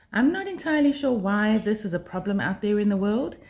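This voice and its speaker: A woman speaks at a fairly quick pace with a South African accent. Her medium-pitched voice is somewhat breathy, with lively intonation. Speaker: life skills vlogger. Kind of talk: monologue to camera. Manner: hesitant, many fillers.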